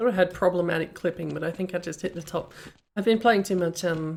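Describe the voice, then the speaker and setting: With an Australian accent, a woman talks at a fairly quick pace and a fairly low pitch, her intonation fairly even. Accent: Australian, some say slight New Zealand tinge. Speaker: streamer reviewing game maps. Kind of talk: live stream commentary. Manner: casual, meandering.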